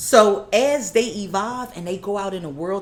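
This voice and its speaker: A woman's medium-pitched voice in an animated tone, over noticeable background noise. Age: 40s. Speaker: podcast guest. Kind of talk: casual chat.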